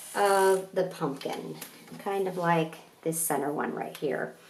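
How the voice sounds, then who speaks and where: Very slow speech carries audible room echo along with noticeable background noise. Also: woman. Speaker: art teacher. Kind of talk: tutorial.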